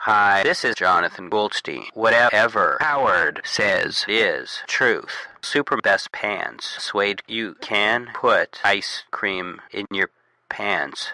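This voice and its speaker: Using a put-on character voice, a man speaks in a raspy tone at a very slow pace. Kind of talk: comic radio sketch. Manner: flat, disjointed, abrupt word fragments.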